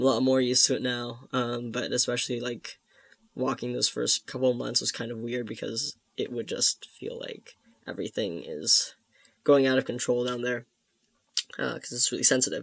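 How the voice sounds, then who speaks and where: At a moderate pace, a man talks with medium pitch and fairly even intonation. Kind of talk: video diary. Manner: halting.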